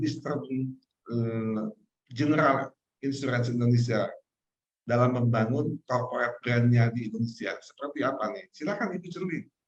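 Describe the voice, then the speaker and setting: A man is speaking. His voice is somewhat breathy. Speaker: interviewer. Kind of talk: interview.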